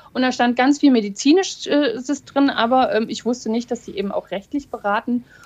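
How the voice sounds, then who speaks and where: Over noticeable background noise, a woman with a high pitch speaks with hardly any pauses. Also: ordinary pitch variation, moderate pace. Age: 40s. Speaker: lawyer and breast cancer survivor. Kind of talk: casual chat.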